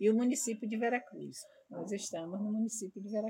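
Talking at a very fast pace, a woman with a fairly high pitch, ordinary pitch variation and a dark, mellow, somewhat breathy tone is heard. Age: 60s. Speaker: samba de roda group coordinator. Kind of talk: interview.

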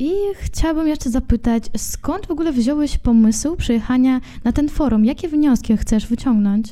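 Speaking at a moderate pace, a woman is heard over noticeable background noise. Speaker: podcast host. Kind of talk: interview.

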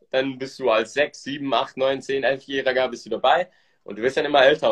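A medium-pitched male voice talks at a moderate pace. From Switzerland. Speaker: podcast host, entrepreneur. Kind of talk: casual interview chat, Instagram live.

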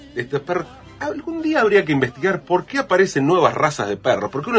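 Noticeable background noise runs under a man's voice. His pitch swings very widely. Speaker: radio columnist. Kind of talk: radio segment on tango lyrics.

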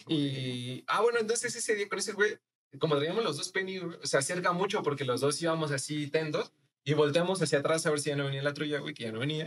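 Speaking very fast, a man keeps his voice at a fairly high pitch. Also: ordinary pitch variation. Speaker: podcast guest. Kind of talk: casual chat.

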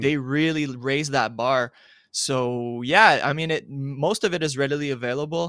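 A man's fairly high voice, bright and sharp in tone, with ordinary pitch variation at a moderate pace. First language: French. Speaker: sports journalist. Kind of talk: casual interview chat.

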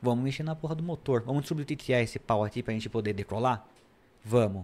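Speaking in a plain, everyday voice, a man uses medium pitch with ordinary pitch variation. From São Paulo, Brazil. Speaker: electronic security specialist. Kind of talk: podcast interview. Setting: studio.

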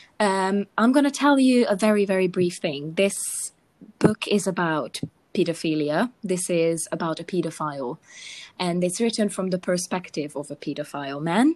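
Speaking with a Hungarian accent, a woman uses lively intonation at a medium pitch and a moderate pace. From Hungary. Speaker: podcast co-host. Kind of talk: casual chat.

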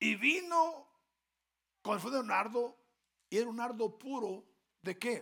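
In a raised, projected voice with a bright, sharp tone, a man speaks at an extremely high pitch and moderate pace, with lively intonation and long, frequent pauses. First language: Spanish. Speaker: pastor. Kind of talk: sermon. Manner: call-and-response.

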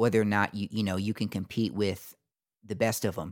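Over a very clean recording with a silent background, a man with an American accent talks very fast in a fairly low pitch. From US Southeast, military family. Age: 20s. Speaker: podcast host. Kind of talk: casual interview chat.

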